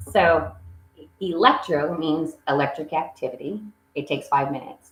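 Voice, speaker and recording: This woman's voice sits very deep and low. Her intonation is lively. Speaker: echocardiography sonographer. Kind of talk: educational talk. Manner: fast.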